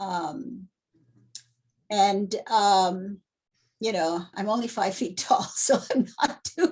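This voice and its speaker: A woman's somewhat breathy voice at medium pitch, very slow and full of long, frequent pauses, with ordinary pitch variation. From moved to the US at age nine from a Spanish-speaking country. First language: Spanish. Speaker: performance artist. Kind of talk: interview. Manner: halting, many fillers.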